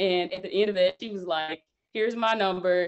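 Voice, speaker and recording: The voice belongs to a woman. She talks with a Southern US accent. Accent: Southern drawl, kept deliberately. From US South, Mississippi (Jackson). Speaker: engineering PhD, brand founder. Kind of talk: interview conversation.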